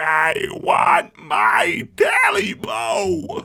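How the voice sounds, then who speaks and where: A man shouts in a put-on character voice. He sounds raspy and growling. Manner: growling, menacing.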